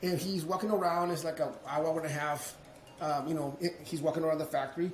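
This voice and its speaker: A man with a Spanish accent, high-pitched and animated, at a very fast pace amid audible room echo. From Mexico. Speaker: business owner. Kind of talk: interview storytelling. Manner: halting, repeats words.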